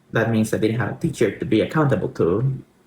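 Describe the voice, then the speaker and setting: A somewhat breathy man's voice with a Spanish accent. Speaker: Spanish language tutor. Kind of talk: personal story in language lesson.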